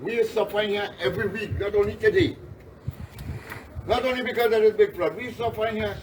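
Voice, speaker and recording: A man speaks at a high pitch and a fairly quick pace, with long, frequent pauses. Noticeable background noise is present. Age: 60s. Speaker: flood-affected resident. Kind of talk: on-the-spot interview. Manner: animated.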